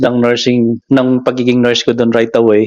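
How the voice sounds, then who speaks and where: A man's medium-pitched voice at a very fast pace. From Philippines. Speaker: registered nurse. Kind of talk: casual talk to camera.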